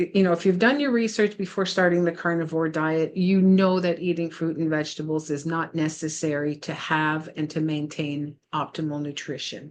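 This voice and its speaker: An unremarkable speaking voice moves at a moderate pace with hardly any pauses and fairly even intonation over a quiet background. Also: woman, fairly low pitch for a woman. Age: 60s. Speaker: health coach vlogger. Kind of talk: casual vlog talk. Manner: conversational with many fillers.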